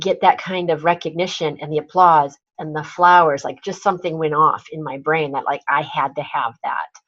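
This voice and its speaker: With an American accent and an unremarkable speaking voice, a woman talks at a moderate pace in a fairly low pitch, her loudness swinging widely. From US Midwest, northern Wisconsin. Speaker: personal brand strategist and speaker coach. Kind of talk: interview.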